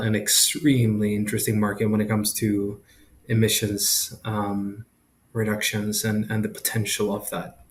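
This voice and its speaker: Somewhat breathy and fairly low in pitch, a man talks at a fairly slow pace. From Sweden. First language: Swedish. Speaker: entrepreneur, company founder. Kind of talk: interview. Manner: halting, many fillers and repetitions.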